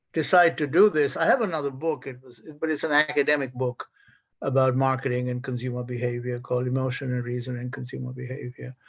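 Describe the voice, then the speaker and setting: A man at a medium pitch talks at a very fast pace, with big swings in loudness and a fairly even intonation. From India (Calcutta). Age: 70s. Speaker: author, retired professor. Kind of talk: author talk. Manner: halting.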